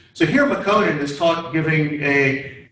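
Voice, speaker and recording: Audible room echo surrounds a man whose fairly high voice carries lively intonation. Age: 70s. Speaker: STEM education volunteer presenting a community program. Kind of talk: class presentation with slides and questions. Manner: hesitant, many fillers and restarts.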